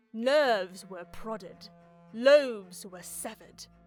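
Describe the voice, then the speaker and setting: A woman speaks fairly slowly and at a fairly high pitch, with music playing in the background. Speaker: voice actor. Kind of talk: video game lore narration.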